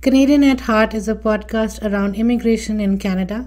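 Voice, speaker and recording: Somewhat breathy, with a dark, mellow tone and fairly high pitch, a woman talks at a moderate pace in a fairly even intonation. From India, Delhi. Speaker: immigration consultant and podcast host. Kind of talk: personal story monologue.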